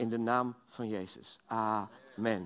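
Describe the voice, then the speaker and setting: A man talks, and the background is quiet. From Belgium. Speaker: guest preacher. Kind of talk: sermon. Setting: church. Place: church.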